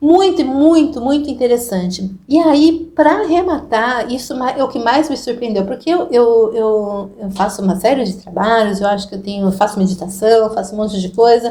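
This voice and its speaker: Her pitch is fairly high, with a dark, mellow tone. The woman's lively intonation runs on with hardly any pauses. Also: moderate pace. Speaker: Jungian psychotherapist hosting group therapy. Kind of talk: casual talk to an online group.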